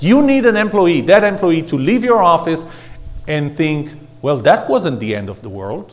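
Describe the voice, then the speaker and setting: Speaking at a moderate pace in an Israeli accent, a man with a high pitch swings his pitch very widely and his loudness in big jumps, with audible room echo around him. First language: Hebrew. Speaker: speaker and trainer. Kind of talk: workshop lecture.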